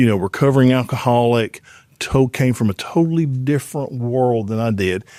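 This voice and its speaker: A man with an Alabama accent, medium pitch, dark and mellow tone, ordinary pitch variation and a fairly quick pace. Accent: Southern US (Alabama). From Alabama, US South. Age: 60s. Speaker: former pro football player, airline pilot. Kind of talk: casual interview chat.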